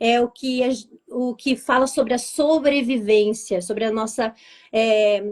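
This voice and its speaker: In a plain, everyday voice, a woman speaks at a fairly slow pace and fairly high pitch with fairly even intonation. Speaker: vibrational therapist. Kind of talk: live interview, explaining. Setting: online live stream.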